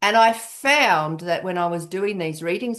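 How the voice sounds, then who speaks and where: A woman with an Australian accent talks against a quiet background. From Western Australia. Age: 60s. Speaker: tarot reader and coach. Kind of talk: interview conversation.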